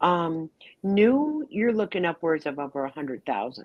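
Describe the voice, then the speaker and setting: A woman speaks at a fairly slow pace in a fairly low pitch. Her voice makes very wide pitch swings. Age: 60s. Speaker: livestream panelist. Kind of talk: casual chat. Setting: livestream.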